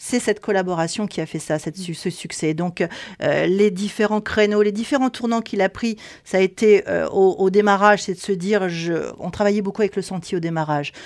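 The delivery comes at a moderate pace with ordinary pitch variation. It is an ordinary speaking voice. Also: woman, medium pitch for a woman. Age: 60s. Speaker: textile company owner. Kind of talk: interview. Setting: knitting factory.

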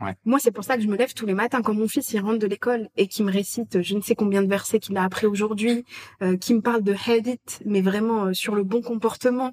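At a fairly quick pace, a normal speaking voice carries fairly even intonation in a dry, close sound with no echo. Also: woman. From France. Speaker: expat agency co-founder. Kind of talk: casual interview. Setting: recorded at the guests' home.

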